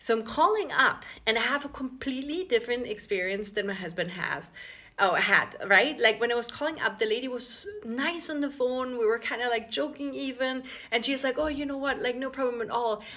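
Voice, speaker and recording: With an Austrian accent, a woman talks at a fairly quick pace in a high, bright, sharp voice whose pitch varies in an ordinary way. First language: German. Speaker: content creator. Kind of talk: casual vlog storytelling. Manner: chatty, many fillers.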